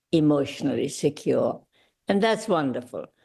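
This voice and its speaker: Lively intonation and vocal fry from a woman. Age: 80s+. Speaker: gala speaker. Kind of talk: speech.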